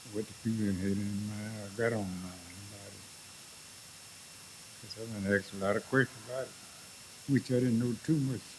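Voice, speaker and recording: With a Louisiana accent, a man speaks at a moderate pace, pausing long and often, his loudness swinging widely. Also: fairly low pitch for a man, fairly even intonation. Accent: Southern US (Louisiana). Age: 80s+. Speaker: war veteran. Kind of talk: interview answer.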